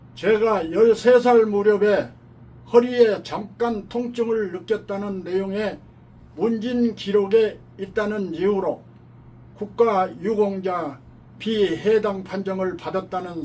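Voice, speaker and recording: Speaking very slowly, a man with a high-pitched voice shows ordinary pitch variation. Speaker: army veteran. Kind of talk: testimony statement for an appeal.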